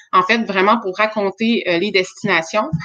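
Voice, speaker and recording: A woman speaks in a Quebec accent at a fairly slow pace. Her pitch is medium, with ordinary variation. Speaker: startup founder. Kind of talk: webinar presentation.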